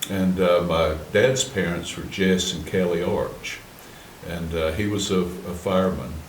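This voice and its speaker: In an Appalachian accent, a man speaks at a fairly slow pace with a very deep, low pitch and fairly even intonation, with audible room echo. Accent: Appalachian Southern US. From western North Carolina, Cherokee. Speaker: Cherokee artist and storyteller. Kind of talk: interview. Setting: museum.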